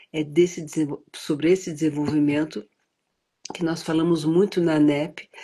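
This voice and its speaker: Her very deep, low pitch sits in a dark, mellow tone as a woman talks at a moderate pace with monotone, flat intonation. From United States, educated in Europe. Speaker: prenatal education advocate. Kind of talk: interview. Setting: live stream.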